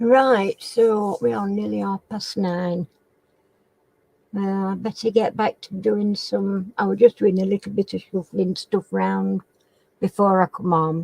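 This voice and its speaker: A woman speaks at a fairly slow pace with a northern English accent, her dark, mellow tone sitting at a medium pitch with ordinary pitch variation. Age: 70s. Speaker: crafting channel host. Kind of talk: casual chat. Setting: live stream chat. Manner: halting.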